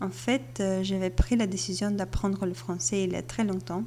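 A woman with a Bulgarian accent speaks at a fairly slow pace in a dark, mellow tone. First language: Bulgarian (speaking French). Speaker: podcast listener. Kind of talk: recorded voice message.

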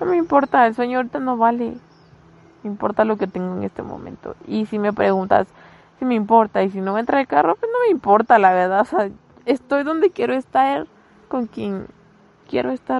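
A woman with a fairly high pitch talks at a fairly quick pace with very wide pitch swings and long, frequent pauses. The sound is dry and close, with no echo. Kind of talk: casual chat.

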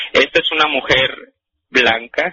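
A man talking at a very slow pace. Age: 20s. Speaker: caller. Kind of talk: testimony. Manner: halting.

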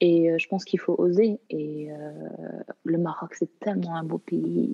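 Here a woman talks at a fairly slow pace with a fairly low pitch. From Canada. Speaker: actress and filmmaker. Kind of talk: interview. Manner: halting, many repetitions.

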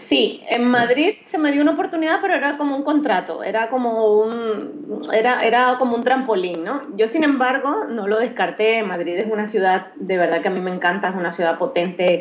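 A woman talks at a moderate pace with hardly any pauses, her fairly high voice swinging very widely in pitch over noticeable background noise. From Venezuela, Maracaibo. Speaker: professional makeup artist. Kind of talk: interview.

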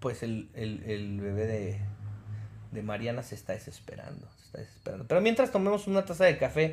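A somewhat breathy man with very wide pitch swings. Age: 40s. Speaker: podcast co-host. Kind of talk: casual chat.

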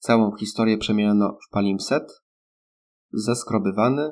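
A man's medium-pitched voice at a moderate pace, a normal speaking voice. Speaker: audiobook narrator. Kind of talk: literary audiobook reading, scripted narration of a novel. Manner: even, measured, formal narrator pace.

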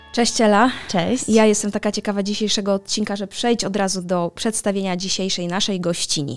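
Music plays behind a woman who talks fairly quickly at a medium pitch with fairly even intonation. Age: 30s. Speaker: podcast host. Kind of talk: casual chat.

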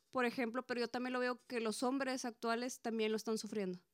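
A woman speaks with a Mexican accent at a high pitch. The sound is dry and close, with no echo. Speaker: podcast co-host. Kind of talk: casual chat.

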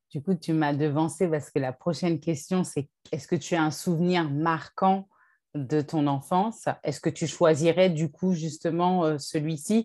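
Against a silent background on a very clean recording, a woman speaks fairly slowly in a dark, mellow tone, at a fairly low pitch with fairly even intonation. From France. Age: young. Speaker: podcast host. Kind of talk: interview.

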